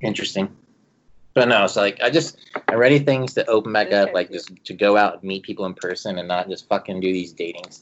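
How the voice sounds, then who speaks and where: A man talks at a fairly quick pace in a normal speaking voice, fairly low in pitch with ordinary pitch variation. His loudness swings widely. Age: 30s. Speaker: podcast guest. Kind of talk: casual chat.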